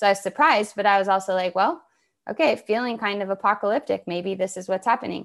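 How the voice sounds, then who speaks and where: A woman with an American accent speaks at a very fast pace and medium pitch, with ordinary pitch variation. The recording is very clean, with a silent background. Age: 40s. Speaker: somatic practitioner and author. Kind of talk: interview conversation.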